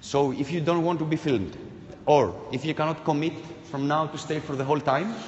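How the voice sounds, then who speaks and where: A man speaks at a moderate pace with a fairly high pitch and ordinary pitch variation. Light background noise sits behind him. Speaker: performance artist. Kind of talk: participatory live performance. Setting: live event with audience. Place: hall.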